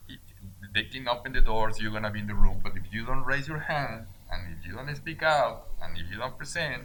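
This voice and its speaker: A man with a Mexican accent talks at a fairly quick pace from a medium pitch, with lively intonation and big swings in loudness. Audible room echo and noticeable background noise surround him. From Mexico. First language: Spanish. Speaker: business owner. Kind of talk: interview.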